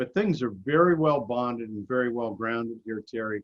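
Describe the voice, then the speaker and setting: A man with an ordinary speaking voice talks at a moderate pace, his medium pitch showing ordinary variation. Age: 60s. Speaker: amateur radio contester. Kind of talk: presentation.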